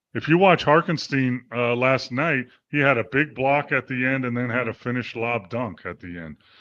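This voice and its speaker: The speaker has a normal speaking voice and ordinary pitch variation. The pace is fairly quick against a quiet background. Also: man. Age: 60s. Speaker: sports podcast co-host. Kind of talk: casual sports talk show.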